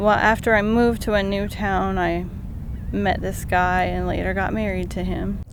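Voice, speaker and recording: The speaker keeps a moderate pace. Room echo is audible. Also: woman. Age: 20s. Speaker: stroke survivor. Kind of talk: testimony.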